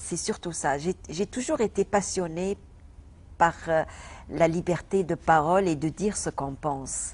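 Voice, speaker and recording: In a Tunisian accent, a woman speaks at a fairly low pitch with ordinary pitch variation and a fairly slow pace. The background is quiet. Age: 40s. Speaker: comedian. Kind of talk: interview. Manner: halting, many hesitations and repetitions.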